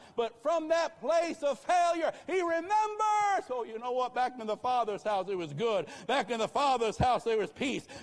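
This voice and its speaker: A man speaks at a moderate pace in an animated tone, his voice pitched extremely high with very wide swings, over noticeable background noise. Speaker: pastor. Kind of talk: rousing revival sermon, call-and-response exhortation to the congregation. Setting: church with live congregation. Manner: punchy, staccato commands hammered in short repeated bursts; animated, fervent, repeatedly urging the crowd to answer amen.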